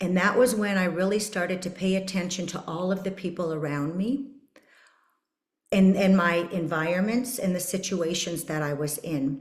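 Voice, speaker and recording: A woman's somewhat breathy voice is heard with audible echo from the room. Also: medium pitch for a woman, ordinary pitch variation, moderate pace. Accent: Canadian. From Canada, Saskatchewan. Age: 50s. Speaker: podcast host. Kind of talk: personal testimony.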